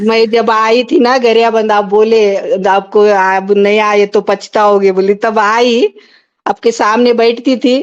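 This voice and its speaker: A woman speaks with a fairly high pitch. Hers is an unremarkable speaking voice. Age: 60s. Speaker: caller to a spiritual satsang. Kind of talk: devotional testimony. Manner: repetitive, devotional.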